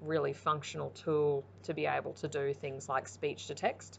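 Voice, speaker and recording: At a moderate pace, a woman speaks with a very deep, low pitch, vocal fry, and ordinary pitch variation over light background noise. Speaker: primary school teacher. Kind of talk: explanatory presentation. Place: home room.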